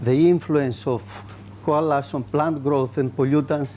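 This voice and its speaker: With a Greek accent, a man speaks at a moderate pace in a dark, mellow tone, his pitch fairly high and his pitch variation ordinary. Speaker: soil scientist. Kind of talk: conference presentation. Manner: halting, many fillers.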